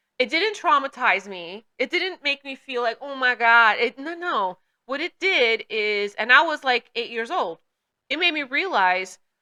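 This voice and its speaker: Against a quiet background, a woman speaks at a fairly slow pace in a high, bright, sharp tone, with very wide pitch swings, big swings in loudness, and a dry, close sound with no echo. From Portugal. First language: Portuguese. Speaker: podcast host. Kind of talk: casual chat.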